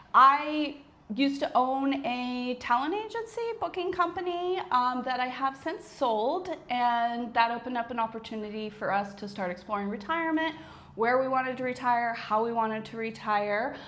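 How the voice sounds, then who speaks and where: Lively intonation moves at a moderate pace through audible room echo. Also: woman, high pitch for a woman. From United States. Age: 40s. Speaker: retired business owner, vlogger. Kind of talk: casual chat.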